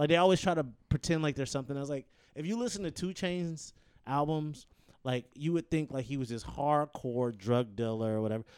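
Speaking fairly quickly with an ordinary speaking voice, a man with an American accent uses lively intonation at a fairly high pitch. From Detroit, Michigan. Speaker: comedian and actor. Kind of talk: casual chat. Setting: at the guest's home.

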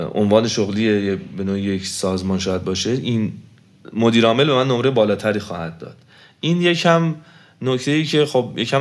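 On a very clean recording with a silent background, a man speaks at a fairly quick pace, with medium pitch and lively intonation. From Iran, Tehran. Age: 30s. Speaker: engineer, marathon runner. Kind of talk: interview. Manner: halting.

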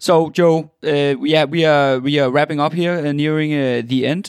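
Speaking at a fairly slow pace with a Danish accent, a man uses a fairly high pitch and fairly even intonation. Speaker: podcast host. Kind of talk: interview. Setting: internet call. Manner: halting.

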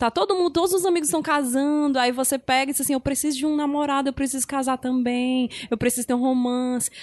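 A woman's high voice rushes along very fast, its pitch varying in an ordinary way. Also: hardly any pauses. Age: 30s. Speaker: podcast host. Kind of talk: casual chat.

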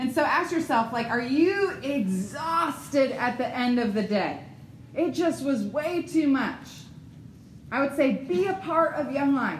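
In an American accent, a woman with a high voice speaks very slowly with lively intonation, and audible room echo surrounds her. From Ohio, US Midwest. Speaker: ministry staff trainer. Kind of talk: seminar talk. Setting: room with live audience.

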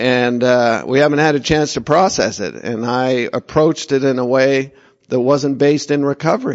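Speaking at a medium pitch, the man shows ordinary variation in it. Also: moderate pace. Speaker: twelve-step speaker. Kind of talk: testimony. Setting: convention meeting room. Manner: projecting voice.

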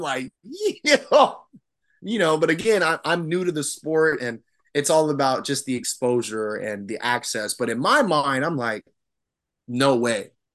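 A man with an unremarkable speaking voice and an American accent talks at a fairly slow pace, his pitch fairly high and his intonation lively. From Arizona. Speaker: swim coach and Navy veteran. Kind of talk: casual interview.

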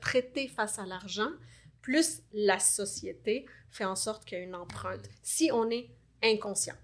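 On a very clean recording with a silent background, a woman with an unremarkable speaking voice and a fairly high pitch talks at a fairly slow pace with ordinary pitch variation. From Lebanon. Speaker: life coach. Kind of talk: interview.

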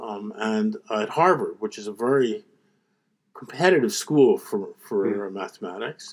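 In a Philadelphia accent, a man talks at a fairly slow pace, his loudness swinging widely. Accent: American, Philadelphia. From US, Philadelphia. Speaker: economics professor. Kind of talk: interview.

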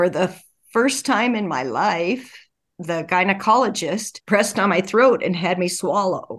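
In a quiet background, a woman with an ordinary speaking voice talks at a fairly slow pace with ordinary pitch variation. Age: 60s. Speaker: retired dental hygienist, cancer survivor. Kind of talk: interview, personal testimony.

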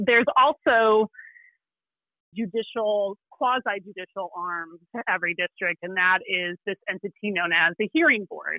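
Using an unremarkable speaking voice, a woman talks at a fairly slow pace and medium pitch, with ordinary pitch variation. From Illinois. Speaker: environmental lawyer. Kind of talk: podcast interview explaining law.

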